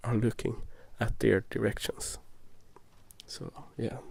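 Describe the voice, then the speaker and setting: A man with a Swedish accent talks at a moderate pace. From Sweden. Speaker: ASMR youtuber. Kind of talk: gameplay commentary. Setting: recorded binaural, ear to ear. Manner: soft-spoken; halting.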